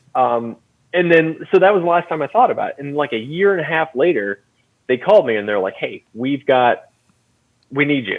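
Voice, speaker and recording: Loud and at a fairly quick pace, a man speaks with very wide pitch swings. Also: fairly high pitch for a man. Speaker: content director at a woodworking tool company. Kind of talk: casual interview chat. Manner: filler-heavy, hesitant.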